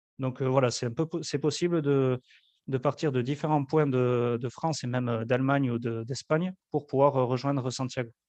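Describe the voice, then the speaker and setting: Speaking with a southwestern French accent, a man keeps a moderate pace and a medium pitch. His intonation is fairly even, and the sound is dry and close with no echo. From French Basque Country. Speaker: travel agency representative. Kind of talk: webinar presentation and Q&A. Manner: hesitant, many fillers.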